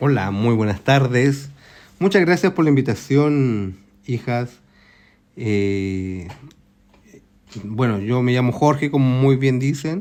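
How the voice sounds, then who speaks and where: Pausing long and often, a man speaks at a very slow pace and a medium pitch. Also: lively intonation. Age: 60s. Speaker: retiree, eyewitness to history. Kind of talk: interview.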